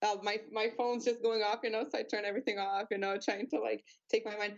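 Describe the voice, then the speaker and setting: A woman's fairly high voice, a plain, everyday voice. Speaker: MMA fighter. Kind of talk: casual interview. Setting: video call.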